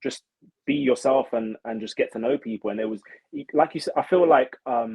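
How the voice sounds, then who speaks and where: This man speaks with a London accent at a moderate pace. His pitch is medium, with ordinary variation. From London, England. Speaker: reality show contestant, social media creator. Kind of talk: casual interview chat.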